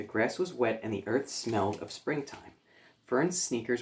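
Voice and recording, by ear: With lively intonation, the speaker reads aloud in a natural voice.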